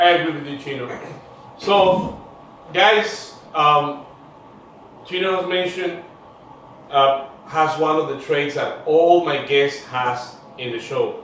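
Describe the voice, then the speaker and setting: The speech comes very slowly, with long, frequent pauses and ordinary pitch variation. Noticeable background noise and audible room echo fill the recording. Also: man, fairly high pitch for a man. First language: Spanish. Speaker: podcast host. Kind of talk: interview show. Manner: animated.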